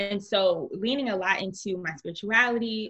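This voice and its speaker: At a moderate pace, a woman with an American accent speaks in a normal speaking voice at medium pitch with ordinary pitch variation. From Newark, New Jersey. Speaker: entrepreneur, personal development coach. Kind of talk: interview conversation.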